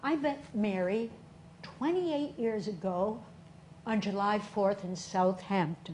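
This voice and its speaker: In an American accent, a woman with a medium pitch and lively intonation speaks at a very slow pace, with audible room echo. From Boston area, US. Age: 70s. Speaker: stage performer. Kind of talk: solo stage show monologue.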